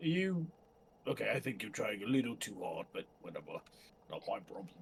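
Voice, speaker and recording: A man uses a raspy, put-on character voice. He speaks at a moderate pace. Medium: actual play.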